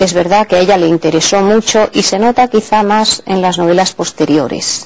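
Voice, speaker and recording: A woman talks at a moderate pace in a medium pitch. She has a plain, everyday voice with ordinary pitch variation. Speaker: literature professor. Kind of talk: interview answer.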